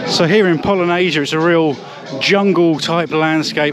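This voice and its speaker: A man talks with a high pitch and fairly even intonation. Music plays behind his voice, and the sound is dry with no echo. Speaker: theme park vlogger. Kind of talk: casual vlog commentary. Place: street. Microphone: phone near.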